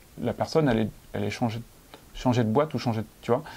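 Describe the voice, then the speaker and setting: At a fairly quick pace, a man speaks at medium pitch with a dark, mellow tone and ordinary pitch variation. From France. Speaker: entrepreneur. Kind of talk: casual interview. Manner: halting, many fillers.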